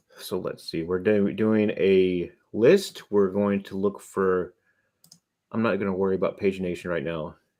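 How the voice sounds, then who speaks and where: A man speaks at a moderate pace with fairly even intonation. His is an unremarkable speaking voice, fairly low in pitch. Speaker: recruiter and sourcing trainer. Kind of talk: live-stream tutorial. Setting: live stream. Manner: casual, thinking aloud.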